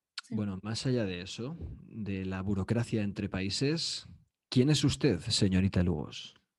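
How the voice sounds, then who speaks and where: A man talks at a fairly slow pace in a plain, everyday voice. His pitch is fairly low, and his intonation is lively. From Spain. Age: 30s. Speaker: podcast co-host, psychology student. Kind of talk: casual chat.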